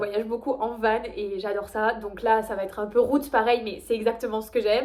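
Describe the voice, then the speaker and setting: Fairly high-pitched woman's voice with a slight Toulouse accent, at a moderate pace. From Toulouse, France. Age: 20s. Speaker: high-level kayak athlete. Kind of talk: casual talk to camera, casting video.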